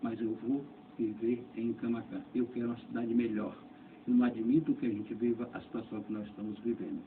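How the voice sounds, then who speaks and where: The man's medium-pitched voice moves at a fairly quick pace in a monotone, flat intonation. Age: 60s. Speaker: doctor and mayoral candidate. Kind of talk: radio interview. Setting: radio studio.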